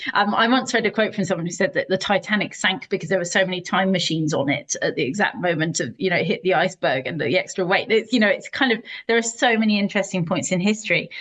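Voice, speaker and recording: A British accent comes through at a very fast pace, with very even loudness, lively intonation and hardly any pauses. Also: woman, medium pitch for a woman. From southern England, Sussex. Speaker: historian and author. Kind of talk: podcast interview.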